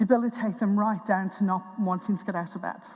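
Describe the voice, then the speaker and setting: She speaks with an Irish accent at a medium pitch. Her intonation stays fairly even. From Tipperary, Ireland. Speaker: NHS mental health director. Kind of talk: conference talk.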